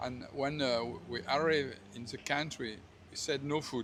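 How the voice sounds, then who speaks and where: A man with a French accent, medium pitch, fairly even intonation and a moderate pace. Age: 70s. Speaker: retired hotel manager. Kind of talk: street interview. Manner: halting.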